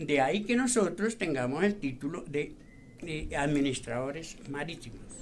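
A man speaks at a moderate pace with a fairly high pitch and lively intonation, and audible room echo surrounds him. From Colombia, Boyacá. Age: 80s+. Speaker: retired navy petty officer. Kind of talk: radio interview. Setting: studio.

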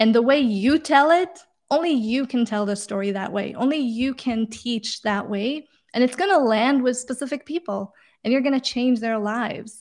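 With a non-native accent, the speaker goes at a moderate pace with ordinary pitch variation against a quiet background. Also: woman, high pitch for a woman. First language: not English. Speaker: career coach and author. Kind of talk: interview. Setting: video call.

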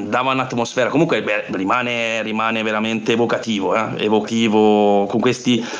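A man is speaking. There is audible room echo. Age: 40s. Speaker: board gamer. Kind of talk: casual chat.

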